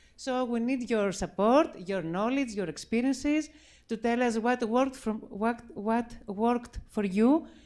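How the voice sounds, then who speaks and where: Speaking at a fairly slow pace with a Greek accent, a woman uses a fairly high voice with ordinary pitch variation. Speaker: circle leader, mountain climber. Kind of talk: event speech. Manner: halting.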